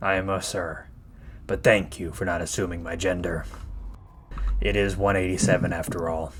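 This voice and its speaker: A put-on character voice from a man, very deep and low in pitch, at a moderate pace with long, frequent pauses and clear background noise. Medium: actual play. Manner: formal, calm, polite.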